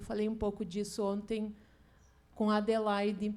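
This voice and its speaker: A woman with a strong Rio Grande do Sul accent, dark and mellow in tone, flat and monotone at a medium pitch, with audible room echo. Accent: strong Passo Fundo interior gaúcho. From interior of Rio Grande do Sul, Passo Fundo. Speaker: poet. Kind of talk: literary panel talk. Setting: stage with audience.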